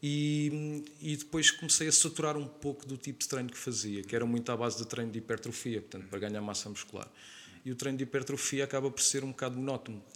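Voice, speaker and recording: A man at medium pitch, very fast with hardly any pauses, ordinary pitch variation, and big swings in loudness. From Portugal, Lisbon area (Oeiras/Carcavelos). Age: 30s. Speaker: calisthenics trainer. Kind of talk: podcast interview.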